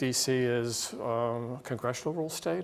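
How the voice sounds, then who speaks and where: The speaker is a man. His intonation stays fairly even. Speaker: guest lecturer. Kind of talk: lecture. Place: classroom. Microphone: podium.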